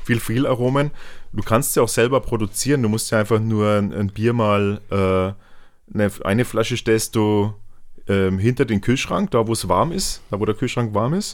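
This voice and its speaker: A man with a Franconian accent speaks at a fairly low pitch and moderate pace, with ordinary pitch variation, in a very clean recording with a silent background. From Franconia, Germany. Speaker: beer YouTuber. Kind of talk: casual chat.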